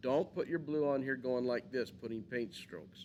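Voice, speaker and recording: This man has a plain, everyday voice, with medium pitch, ordinary pitch variation and a moderate pace. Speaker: art teacher. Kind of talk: tutorial.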